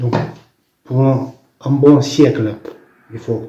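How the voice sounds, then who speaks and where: Audible room echo surrounds a man speaking with a non-native accent. His voice sits at a medium pitch with ordinary pitch variation. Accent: foreign accent in French. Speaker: visionary recounting prophetic visions. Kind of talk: testimony. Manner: halting, with many false starts.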